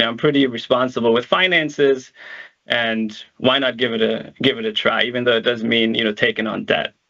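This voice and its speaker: At a moderate pace, a man talks with a slight German accent. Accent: slight German accent in American English. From Germany, Berlin; moved to upstate New York at 16. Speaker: real estate investor. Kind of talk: webinar presentation. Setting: virtual event. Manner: hesitant with many fillers.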